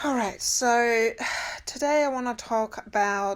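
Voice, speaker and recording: A woman speaks at a very slow pace, with ordinary pitch variation. The recording is very clean, with a silent background. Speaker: spiritual healing coach. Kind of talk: spiritual coaching talk.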